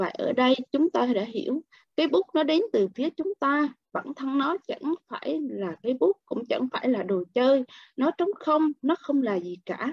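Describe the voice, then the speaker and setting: Her pitch is high and swings very widely. The woman speaks at a fairly slow pace, with a dry sound, no echo and a quiet background. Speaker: book club member; book club reader. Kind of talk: reading aloud. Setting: video call. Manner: expressive. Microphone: video call.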